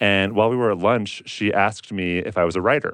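A man speaks in a normal speaking voice with fairly low pitch and fairly even intonation. The background is quiet. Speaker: author and podcaster. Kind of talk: casual interview, personal reflection.

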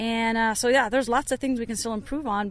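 Against a quiet background, a woman with a plain, everyday voice talks fairly quickly at a fairly high pitch with fairly even intonation. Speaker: women's soccer head coach. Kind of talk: pre-match coach interview. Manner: casual, conversational with fillers and restarts.

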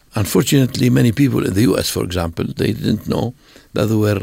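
Lively in intonation, a man with an Arabic accent speaks at a fairly low pitch with vocal fry. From northern Jordan. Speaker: priest. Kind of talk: interview.

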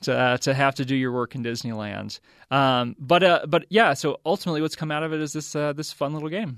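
The sound is dry and close with no echo as a man speaks at a fairly high pitch. He goes at a fairly quick pace with ordinary pitch variation. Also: quiet background. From US South. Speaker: professor. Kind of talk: interview. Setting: studio. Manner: halting.

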